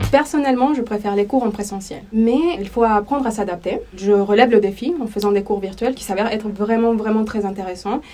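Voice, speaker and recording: A woman with a Spanish accent talks at a fairly quick pace, her fairly high voice showing ordinary pitch variation. She hardly pauses, and noticeable background noise runs beneath her. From El Salvador. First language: Spanish (speaking French). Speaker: language teacher. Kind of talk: interview testimony.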